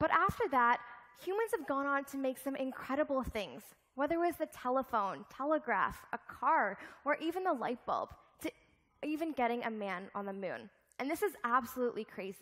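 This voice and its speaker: Against a quiet background, a woman talks at a moderate pace in a high pitch. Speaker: keynote speaker. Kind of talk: keynote speech. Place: stage.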